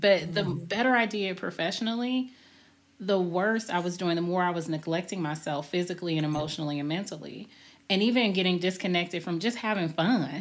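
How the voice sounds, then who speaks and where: The recording is very clean, with a silent background. A woman uses a normal speaking voice, fairly low in pitch, with ordinary pitch variation and a fairly quick pace. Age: 40s. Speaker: podcast host. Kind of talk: casual chat.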